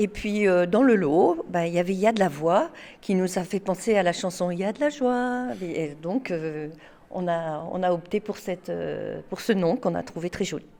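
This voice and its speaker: In a very clean recording with a silent background, a woman with a dark, mellow tone talks at a moderate pace. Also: medium pitch for a woman, ordinary pitch variation. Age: 60s. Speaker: choir member. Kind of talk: interview. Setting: concert hall.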